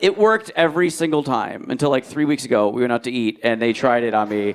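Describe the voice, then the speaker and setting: There is noticeable background noise as a man talks with an American accent. His pitch swings very widely. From New Jersey. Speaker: stand-up comedian. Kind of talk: live stand-up comedy set.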